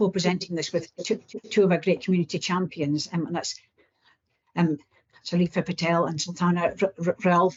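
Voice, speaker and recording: A woman speaks at a moderate pace in a somewhat breathy voice. Her pitch is fairly low and her intonation monotone and flat. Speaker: research programme presenter. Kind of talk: presentation. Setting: video call into a meeting. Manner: halting, repeated syllables.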